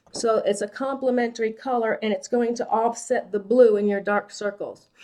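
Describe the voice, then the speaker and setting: A woman talks in an ordinary speaking voice at a moderate pace. Her pitch is fairly high and her intonation fairly even. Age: 60s. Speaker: makeup artist and esthetician. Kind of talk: makeup tutorial. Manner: casual, conversational.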